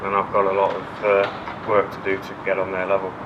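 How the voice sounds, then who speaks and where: Man with an East Midlands accent, fairly low pitch, monotone, flat intonation and a fairly quick pace, plus audible room echo and noticeable background noise. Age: 30s. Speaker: firefighter. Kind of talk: interview.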